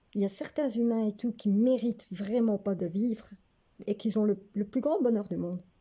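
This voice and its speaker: The voice has a dark, mellow tone, somewhat breathy, with ordinary pitch variation at a moderate pace. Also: woman. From Belgium, Hainaut near Mons. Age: 30s. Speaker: vlogger. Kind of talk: casual personal vlog monologue.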